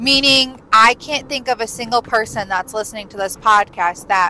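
Loud and at a moderate pace, a woman speaks with fairly high pitch and ordinary pitch variation while music plays in the background. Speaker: podcast host. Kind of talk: casual monologue. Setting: in a car.

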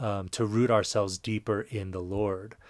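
Recorded very cleanly with a silent background, a man speaks at a fairly low pitch in a dry, close sound with no echo. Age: 40s. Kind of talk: personal reflection monologue. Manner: halting, many fillers and repetitions.

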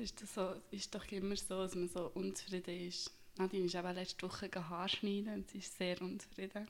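At a fairly quick pace, a woman talks at a medium pitch in a monotone, flat delivery. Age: 20s. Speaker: podcast co-host, veterinary assistant. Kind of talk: casual chat.

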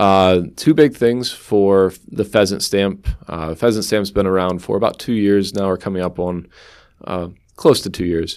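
A man with an American accent speaks in an unremarkable speaking voice at a fairly slow pace, his fairly low pitch moving with ordinary variation on a very clean recording with a silent background. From central Pennsylvania. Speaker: game warden. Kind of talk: interview.

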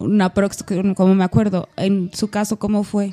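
The speaker talks at a fairly slow pace with a Mexican accent. Noticeable background noise runs underneath. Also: woman. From Mexico, Aguascalientes. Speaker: podcast co-host. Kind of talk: casual chat.

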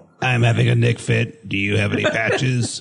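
A robotic, put-on character voice from a man, fairly low in pitch, at a moderate pace.

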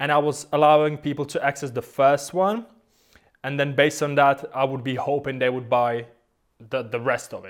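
A man with a non-native accent at a moderate pace, with fairly even intonation and big swings in loudness. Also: fairly high pitch for a man. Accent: foreign-accented English. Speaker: guitarist and online course creator. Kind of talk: casual interview chat.

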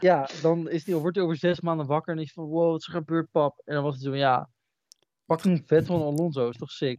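A man's slightly mellow, fairly high voice at a fairly quick pace, fairly even in intonation, the sound dry and close with no echo.

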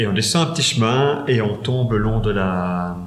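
A man speaks somewhat breathy at a fairly low pitch. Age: 40s. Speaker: funeral administration advisor. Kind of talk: interview.

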